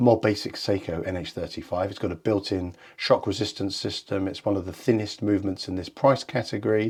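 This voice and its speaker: On a very clean recording with a silent background, a man with a British accent talks at a fairly quick pace in a fairly low pitch and a dark, mellow tone. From England. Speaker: watch reviewer, channel owner. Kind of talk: product review.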